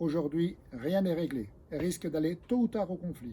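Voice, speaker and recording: A man speaks at a high pitch with a dark, mellow tone. His pace is moderate, and his pitch varies in an ordinary way. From France, Haute-Savoie. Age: 60s. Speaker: local election candidate and farmer. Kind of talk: campaign speech.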